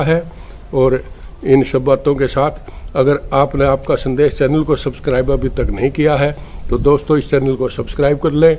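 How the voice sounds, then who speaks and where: Over noticeable background noise, a man speaks in a monotone, flat intonation at a fairly high pitch. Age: 70s. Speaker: news channel editor and political commentator. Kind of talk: channel outro appeal; political commentary monologue. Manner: hesitant fillers.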